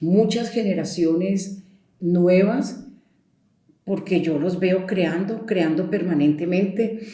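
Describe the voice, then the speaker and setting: A woman's very slow, medium-pitched voice with fairly even intonation and audible room echo. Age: 70s. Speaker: storyteller. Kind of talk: interview. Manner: conversational.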